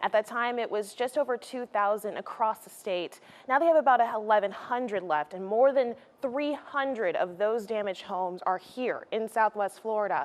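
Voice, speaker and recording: A woman with a plain, everyday voice, pitched fairly high, speaks at a moderate pace with ordinary pitch variation and big swings in loudness. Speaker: investigative reporter and fill-in anchor. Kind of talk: on-set interview answer / anchor Q&A.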